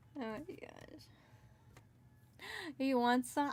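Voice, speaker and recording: A woman's monotone, flat delivery with an American accent. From California. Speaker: streamer and digital artist. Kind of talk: casual livestream chat while drawing. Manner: halting, repeats words.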